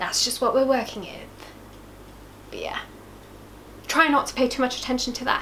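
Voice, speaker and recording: Amid audible room echo and noticeable background noise, the speaker keeps a moderate pace with long, frequent pauses, ordinary pitch variation and big swings in loudness. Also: woman, high pitch for a woman. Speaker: YouTuber. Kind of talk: casual video talk. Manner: casual, chatty.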